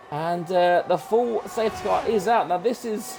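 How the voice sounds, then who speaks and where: Music plays in the background as a man speaks with a British accent. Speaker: sim racing commentator. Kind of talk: live commentary. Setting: home room with open window. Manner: loud, shouting; animated.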